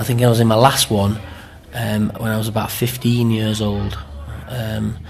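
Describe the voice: Amid audible room echo, a man with fairly low pitch for a man and a slightly mellow tone speaks with little pitch movement.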